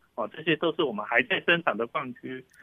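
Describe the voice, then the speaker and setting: A man talks with ordinary pitch variation. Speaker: oil company executive. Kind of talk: interview explanation. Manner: halting with many fillers.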